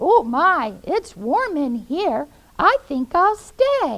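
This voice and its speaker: A woman's cartoonish character voice, extremely high in pitch, with very wide pitch swings and a very slow pace. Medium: puppet.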